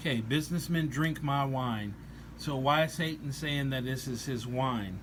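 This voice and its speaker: A man speaks somewhat breathily at a medium pitch and moderate pace, with ordinary pitch variation and audible room echo. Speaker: religious commentator on rock songs. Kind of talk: scripture-based song review. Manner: hesitant, many fillers.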